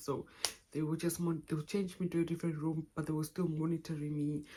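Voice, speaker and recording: Very deep and low in pitch, a woman's somewhat breathy voice with a dark, mellow tone moves at a very fast pace with fairly even intonation. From Namibia. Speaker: YouTuber. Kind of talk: personal story vlog. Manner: halting, self-correcting.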